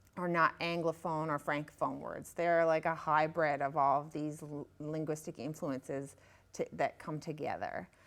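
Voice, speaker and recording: A woman's very deep, low-pitched voice at a moderate pace, monotone and flat in intonation, with big swings in loudness on a very clean recording with a silent background. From Newfoundland, Northern Peninsula (Savage Cove, Straits area). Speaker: author. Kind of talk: interview. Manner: halting, many fillers.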